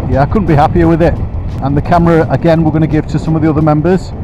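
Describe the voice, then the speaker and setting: Music plays in the background while a man speaks. His pitch is high, and the sound is dry with no echo. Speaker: shop staff reviewer. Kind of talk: product review commentary while riding. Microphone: helmet.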